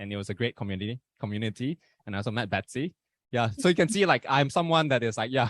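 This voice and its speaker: A man talks very fast in a Malaysian accent, his pitch medium for a man and his intonation lively. The sound is dry and close, with no echo. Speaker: podcast host. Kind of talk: casual chat.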